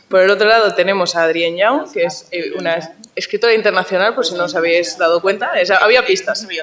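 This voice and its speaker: A woman's medium-pitched voice at a fairly quick pace with lively intonation, over noticeable background noise. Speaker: panel moderator. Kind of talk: panel discussion. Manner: fast; animated.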